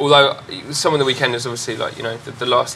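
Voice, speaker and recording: A man's voice over noticeable background noise. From Norfolk, eastern England. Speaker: club and festival promoter. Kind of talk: panel discussion. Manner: halting, many repetitions.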